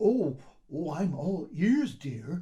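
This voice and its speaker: A put-on character voice with very wide pitch swings. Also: man. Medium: read story. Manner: hesitant, bumbling.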